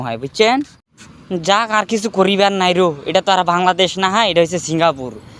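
A man with a strong Bangladeshi accent speaks at a high pitch with ordinary pitch variation. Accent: strong regional Bangladeshi dialect. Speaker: migrant worker and vlogger. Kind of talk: casual vlog.

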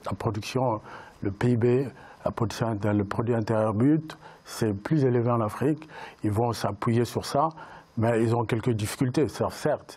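A man talks at a very slow pace, with long and frequent pauses. His loudness stays very even, and his pitch varies an ordinary amount. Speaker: writer and entrepreneur. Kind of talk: panel discussion. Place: studio. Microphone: lapel.

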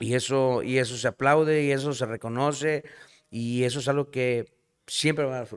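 A man with a northern Mexican accent talks at a moderate pace and a medium pitch, with fairly even intonation. The recording is very clean, with a silent background. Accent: northern Mexican (norteño) Spanish. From Nuevo León, Mexico. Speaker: singer-songwriter. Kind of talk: casual chat. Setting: bar.

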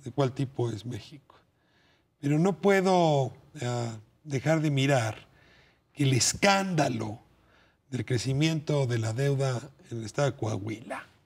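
The speech is somewhat breathy, at a fairly slow pace with ordinary pitch variation. Long, frequent pauses break it up. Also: man, medium pitch for a man. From Mexico. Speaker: TV talk show host. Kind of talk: TV panel discussion. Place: studio. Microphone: lapel.

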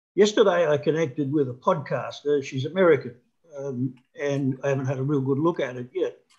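Against a quiet background, a man talks at a moderate pace in a somewhat breathy voice with a fairly high pitch and ordinary pitch variation. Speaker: webinar attendee. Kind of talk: casual chat. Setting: video call. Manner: halting. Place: home room. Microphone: video call.

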